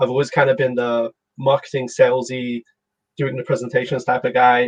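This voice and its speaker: A man speaks at medium pitch and a moderate pace, somewhat breathy. The sound is dry and close, with no echo. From London, England. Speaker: startup CEO. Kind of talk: casual interview.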